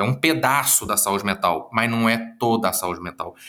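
A man speaks with a bright, sharp tone. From Minas Gerais, Brazil (Uberlândia, Triângulo Mineiro). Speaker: psychologist and speaker. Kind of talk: interview.

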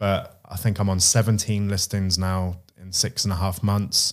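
A man speaks with a British accent at a fairly low pitch. The recording is very clean, with a silent background. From UK. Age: 30s. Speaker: self-employed estate agent. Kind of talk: interview.

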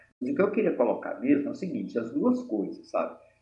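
There is audible room echo as a man talks. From Minas Gerais, Brazil (Mariana). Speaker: pharmacist and activist. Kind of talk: interview.

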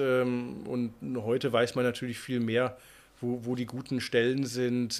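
The man's voice sits at a medium pitch and stays monotone and flat. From Unna, Westphalia, Germany (Ruhr area). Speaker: Arctic guide and author. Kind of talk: casual interview.

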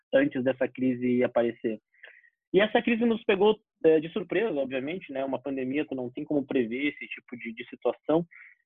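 Talking at a fairly quick pace, a man uses lively intonation and big swings in loudness. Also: fairly high pitch for a man. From Porto Alegre, southern Brazil. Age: 20s. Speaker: startup accelerator manager. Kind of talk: casual chat. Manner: halting.

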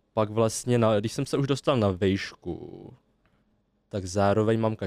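This man has a plain, everyday voice, talking at a fairly slow pace with a fairly low pitch and fairly even intonation, in a dry, close sound with no echo. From Czech Republic, western Bohemia (Klatovy area). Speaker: podcast guest from the Vietnamese community. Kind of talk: casual chat.

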